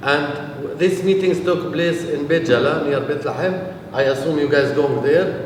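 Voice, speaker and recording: Fairly slow, fairly even speech in a Palestinian accent with hardly any pauses, audible room echo and noticeable background noise. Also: man, fairly high pitch for a man. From Palestine. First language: Arabic. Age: 40s. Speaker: peace activist. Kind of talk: talk to a visiting group. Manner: hesitant, many fillers.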